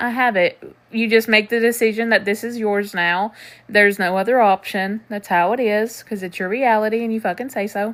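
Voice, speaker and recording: At a fairly quick pace, a woman speaks at a fairly high pitch with fairly even intonation. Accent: slight Southern US. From Tennessee. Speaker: manifestation coach. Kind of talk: live stream chat answering comments. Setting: TikTok live stream. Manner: casual, conversational.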